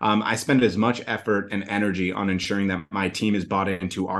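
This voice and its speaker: A man speaks at a fairly quick pace in a plain, everyday voice. His pitch is fairly low, and the background is quiet. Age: 30s. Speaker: agency founder. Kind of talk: interview.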